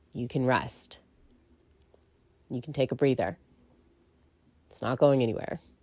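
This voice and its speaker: A woman's very deep, low pitch with a dark, mellow tone at a fairly slow pace. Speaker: podcaster and narrator. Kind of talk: casual monologue. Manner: rambling with many fillers.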